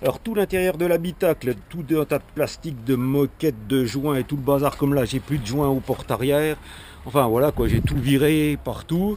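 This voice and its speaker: A man with a Franche-Comté accent speaks at a moderate pace in a fairly high pitch with ordinary pitch variation, over noticeable background noise. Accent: rural Franche-Comté (Haut-Doubs) French. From Haut-Doubs, France. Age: 50s. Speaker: amateur car tuner. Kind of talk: casual car walkaround presentation to camera. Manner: casual, hesitant, repeats 'voilà' often.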